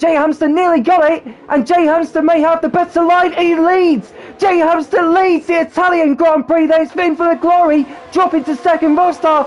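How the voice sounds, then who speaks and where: Over noticeable background noise, a man speaks in an excited, energetic tone at an extremely high pitch with ordinary pitch variation. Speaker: motorsport commentator. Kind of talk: motorsport race commentary. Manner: fast, excited, energetic race-call delivery.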